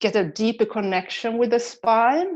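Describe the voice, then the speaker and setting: Speaking at a fairly slow pace, a woman talks with a Swedish accent. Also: quiet background. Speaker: body practice teacher and physiotherapist. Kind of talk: guided movement session. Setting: online video session. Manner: hesitant, many fillers.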